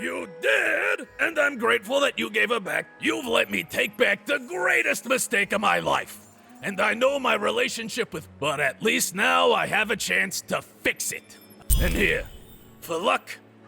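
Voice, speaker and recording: Over clear background music, a man speaks in a put-on character voice. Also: moderate pace. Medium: video game. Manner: halting, emotional.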